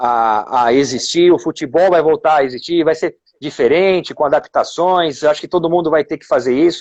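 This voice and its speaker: A normal speaking voice from a fairly high-pitched man, at a moderate pace with hardly any pauses, ordinary pitch variation and big swings in loudness, in a dry, close sound with no echo. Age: 40s. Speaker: former footballer. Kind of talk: casual chat.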